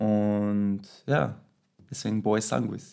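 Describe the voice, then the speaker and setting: This is a man. His voice sits at a fairly low pitch. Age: 20s. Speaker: dancer. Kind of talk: casual interview. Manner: hesitant, many fillers.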